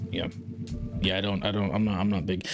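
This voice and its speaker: A man with an American accent. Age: 30s. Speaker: streamer. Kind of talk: casual chat. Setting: live stream from home. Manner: halting.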